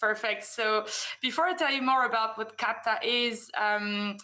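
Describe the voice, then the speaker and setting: Fairly high-pitched woman with a French accent, bright, sharp tone and ordinary pitch variation, audible room echo. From France. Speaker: business development manager, conference speaker. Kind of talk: conference presentation. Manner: hesitant, many fillers.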